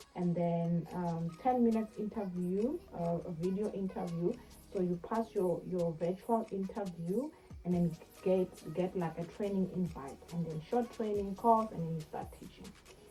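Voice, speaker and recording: Music plays in the background as a woman talks at a medium pitch with ordinary pitch variation. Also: moderate pace. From South Africa. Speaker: online English teacher and YouTuber. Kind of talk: casual tutorial. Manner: hesitant, many fillers.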